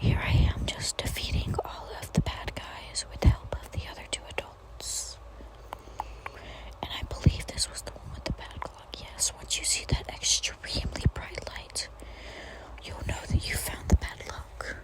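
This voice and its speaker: A woman is whispering at a fairly slow pace, with big swings in loudness. Noticeable background noise sits behind her. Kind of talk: ASMR gameplay voiceover. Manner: whispered.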